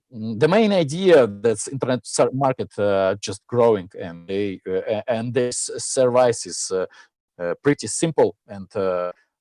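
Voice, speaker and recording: A man with a Russian accent speaks at a fairly slow pace in a dark, mellow tone, with big swings in loudness. The sound is dry and close with no echo, over a quiet background. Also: medium pitch for a man, lively intonation. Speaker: startup founder pitching. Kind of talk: pitch Q&A. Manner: halting, many fillers.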